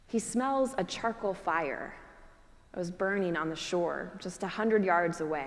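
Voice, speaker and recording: A normal speaking voice from a woman, medium in pitch, fairly slow, with lively intonation. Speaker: Episcopal priest. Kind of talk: church sermon.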